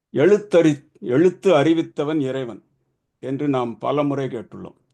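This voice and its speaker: A dark, mellow tone with ordinary pitch variation. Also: man. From Tamil Nadu, Madurai. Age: 70s. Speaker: swami, ashram founder. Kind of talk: devotional speech. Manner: formal.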